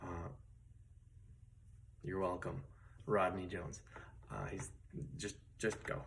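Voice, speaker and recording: A soft-spoken man talks at a fairly slow pace in a very deep, low voice with vocal fry. Audible room echo surrounds him. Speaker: guitar teacher. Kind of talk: tutorial. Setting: at home, late at night. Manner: soft-spoken, quiet late at night; casual with many fillers.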